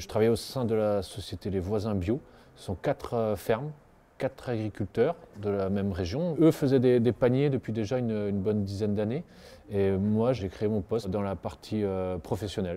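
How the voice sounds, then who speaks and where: A man talks in a fairly low, dark, mellow voice with ordinary pitch variation. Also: moderate pace. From Brittany, northern Finistère; Brittany. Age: 40s. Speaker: organic produce wholesaler. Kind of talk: interview monologue. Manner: halting, many repetitions and fillers. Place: street.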